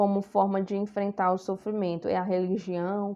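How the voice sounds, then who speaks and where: A woman's normal speaking voice, medium in pitch, at a moderate pace. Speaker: psychology lecturer. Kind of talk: recorded lecture.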